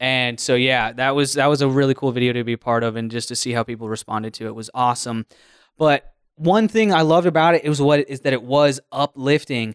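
A man at medium pitch, very fast pace, and ordinary pitch variation, on a very clean recording with a silent background and a dry, close sound with no echo. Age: 30s. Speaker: podcast host and radio show producer. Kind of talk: casual chat.

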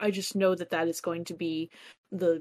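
A woman's fairly low voice, monotone and flat, at a fairly slow pace. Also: very clean recording, silent background. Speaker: tabletop game player. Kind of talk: tabletop roleplaying game session.

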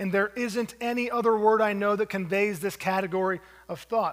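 A man speaks with a high pitch and fairly even intonation. His pace is moderate. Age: 40s. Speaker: pastor. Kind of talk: sermon. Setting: church.

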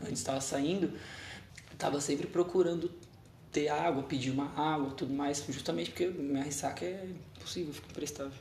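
A man with a fairly high voice talks at a fairly quick clip, broken by long, frequent pauses, with audible echo from the room. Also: ordinary pitch variation. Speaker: podcast co-host. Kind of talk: casual chat.

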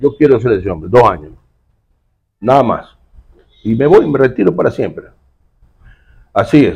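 With vocal fry and lively intonation, a man speaks at a medium pitch and a moderate pace, leaving long, frequent pauses. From Ecuador, Guayaquil. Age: 60s. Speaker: security expert and former public official. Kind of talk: casual interview.

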